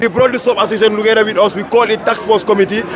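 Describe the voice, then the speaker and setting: Over crowd noise in the background, a man speaks in an angry tone at an extremely high pitch with fairly even intonation. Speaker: student union leader. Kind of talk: press interview. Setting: outdoors at protest. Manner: forceful, can sound angry.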